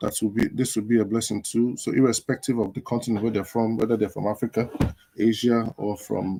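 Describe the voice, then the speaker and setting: A man with a Nigerian accent, medium pitch and a dark, mellow tone, at a fairly quick pace with fairly even intonation, in a dry, close sound with no echo. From northern Nigeria (Kaduna). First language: Igbo. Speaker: live show host. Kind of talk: casual livestream talk. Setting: social media livestream.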